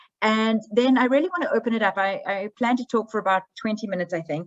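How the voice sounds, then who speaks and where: A woman with a South African accent speaks at a very fast pace with ordinary pitch variation. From South Africa, Johannesburg. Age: 40s. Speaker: history professor. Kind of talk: academic presentation.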